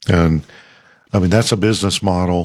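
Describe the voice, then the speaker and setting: A man talks in a very deep, low voice with ordinary pitch variation. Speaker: ruling elder and podcast host. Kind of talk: casual chat.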